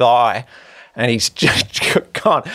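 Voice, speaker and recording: With an Australian accent, a man is talking. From Sydney, Australia. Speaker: podcast host. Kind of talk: casual interview. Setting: hotel room.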